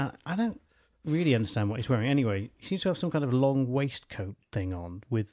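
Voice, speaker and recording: A man's plain, everyday voice at a fairly quick pace, with lively intonation, on a very clean recording with a silent background. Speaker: podcast co-host. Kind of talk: casual chat.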